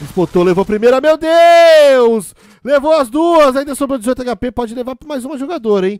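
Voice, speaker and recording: Extremely high in pitch, a man talks at a moderate pace with big swings in loudness in a dry, close sound with no echo. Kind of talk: live esports commentary. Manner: playful, teasing banter.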